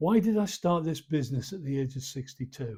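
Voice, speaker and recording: Speaking at a moderate pace, a man with a fairly high pitch sounds somewhat breathy on a very clean recording with a silent background. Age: 70s. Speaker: barber and retired hairdressing teacher. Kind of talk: casual vlog monologue.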